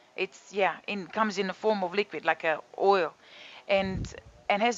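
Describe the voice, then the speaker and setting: A woman speaks with a Croatian accent. Her pitch is medium and her pace moderate. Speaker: yoga and detox teacher. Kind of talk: casual talk to camera. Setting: home balcony studio.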